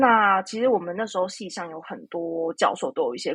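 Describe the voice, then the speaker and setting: Using lively intonation, a woman of medium pitch speaks at a moderate pace. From Taiwan. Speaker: psychotherapist. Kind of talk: interview. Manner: halting, many fillers.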